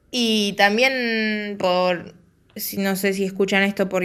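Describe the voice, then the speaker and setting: Speaking very slowly, a woman talks with a Rioplatense accent. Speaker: podcast host. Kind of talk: solo podcast talk.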